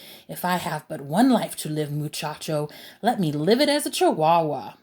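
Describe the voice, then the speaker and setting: A put-on character voice in a Spanish accent, dramatic and playful at a moderate pace, in a very clean recording with a silent background. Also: woman, fairly low pitch for a woman. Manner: dramatic, playful.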